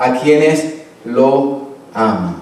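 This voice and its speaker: A man speaks with audible room echo. There is noticeable background noise as well. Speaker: pastor. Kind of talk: sermon.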